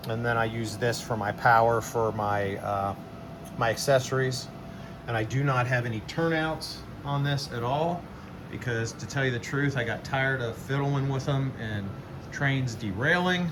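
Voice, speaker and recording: A man speaks at a moderate pace in a medium pitch with ordinary pitch variation. Room echo is audible, and background noise is noticeable. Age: 60s. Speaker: model train hobbyist, video creator. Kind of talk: casual show-and-tell video. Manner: relaxed, with many filler words.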